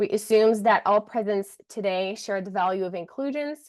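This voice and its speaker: A woman talks at a fairly quick pace with a French Canadian accent. Her pitch is medium. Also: quiet background. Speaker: community engagement officer. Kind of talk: reading a land acknowledgement.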